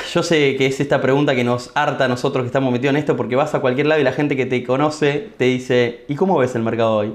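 The voice moves at a very fast pace, with fairly even intonation and very even loudness throughout. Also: man, medium pitch for a man, hardly any pauses. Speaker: podcast host, trader. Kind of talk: casual interview.

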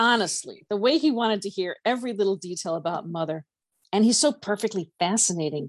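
Natural-voiced reading aloud, ordinary pitch variation, quiet background

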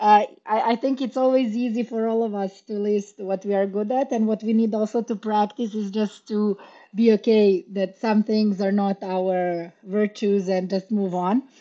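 Delivered with hardly any pauses, a woman's fairly high voice keeps a moderate pace and fairly even intonation in a normal speaking voice. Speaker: podcast co-host. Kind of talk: casual interview conversation.

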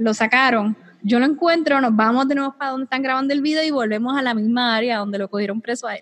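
The delivery is very fast, with a Puerto Rican accent. An animated tone carries ordinary pitch variation. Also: woman, high pitch for a woman. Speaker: podcast host. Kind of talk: casual chat.

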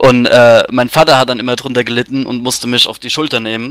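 A medium-pitched man at a very fast pace, bright and sharp in tone, with a dry, close sound and no echo. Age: 20s. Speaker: metal band drummer. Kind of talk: casual radio interview.

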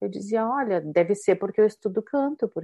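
The speaker is a woman. She talks with a southern Brazilian accent. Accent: gaúcho Brazilian Portuguese. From southern Brazil, Rio Grande do Sul (São Borja, Porto Alegre). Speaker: singer. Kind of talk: interview.

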